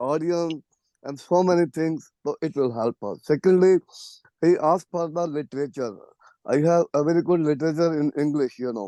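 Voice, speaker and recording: A strong Punjabi accent at a moderate pace, with ordinary pitch variation and a dry, close sound with no echo. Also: man, fairly high pitch for a man. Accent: strong Indian Punjabi English. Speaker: professor. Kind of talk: Q&A discussion comment.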